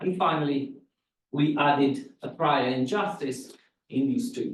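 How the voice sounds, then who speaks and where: A man speaks in an ordinary speaking voice at a fairly high pitch. His intonation is lively and his pace moderate. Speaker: academic researcher presenting a paper. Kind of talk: academic seminar talk.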